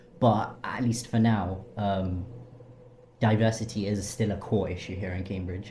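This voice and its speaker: A man speaks at a fairly slow pace in a fairly low pitch, his intonation monotone and flat. Audible room echo and noticeable background noise are present. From London, England. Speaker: university student. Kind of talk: interview. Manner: hesitant, many ums.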